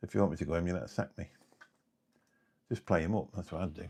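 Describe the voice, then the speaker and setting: At a very fast pace, a man speaks with vocal fry at a very deep, low pitch. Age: 50s. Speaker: YouTuber. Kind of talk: live stream chat. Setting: live stream. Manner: casual, halting.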